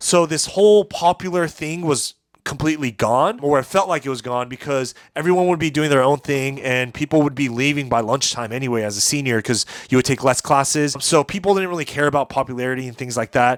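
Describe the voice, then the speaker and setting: With a Californian accent, a man talks at a fairly quick pace and a fairly high pitch. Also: ordinary pitch variation, dry, close sound with no echo. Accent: Californian American English. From US West Coast, Orange County, California. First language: Japanese. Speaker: YouTuber and musician. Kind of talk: casual vlog monologue. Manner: conversational with fillers.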